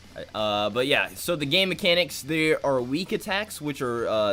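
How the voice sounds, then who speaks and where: A loud man at a moderate pace, his pitch swinging very widely. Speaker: gaming streamer. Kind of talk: live stream explaining a game. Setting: at home streaming.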